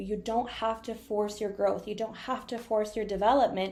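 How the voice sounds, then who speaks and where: A plain, everyday voice: a woman at a fairly high pitch, moderate pace and fairly even intonation. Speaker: energy reader and spiritual coach. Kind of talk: live-streamed coaching talk. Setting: live stream on laptop.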